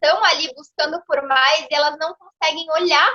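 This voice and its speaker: A woman's raised, projected voice, extremely high in pitch and bright, sharp in tone. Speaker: lawyer and consciousness mentor. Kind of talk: interview. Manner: fast; animated.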